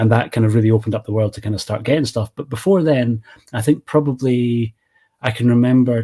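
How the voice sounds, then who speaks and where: A man's medium-pitched, somewhat breathy voice with a dark, mellow tone, fairly even intonation and a moderate pace. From Scotland, east coast. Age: 40s. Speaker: movie channel creator. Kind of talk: casual chat.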